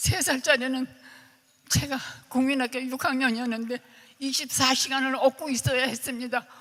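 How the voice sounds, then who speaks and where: A woman speaks at a high pitch in a monotone, flat intonation. Her pace is moderate, with noticeable background noise. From Korea, Seoul. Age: 80s+. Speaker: bereaved family member of war victims. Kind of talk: testimony.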